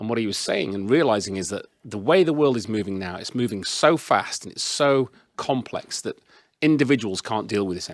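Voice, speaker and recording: Speaking at a fairly quick pace, a man with a Yorkshire accent has a medium pitch and lively intonation. The recording is very clean and dry, close with no echo and a silent background. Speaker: business consultant, panelist. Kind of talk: presentation with slides. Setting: in-person event with audience, microphone.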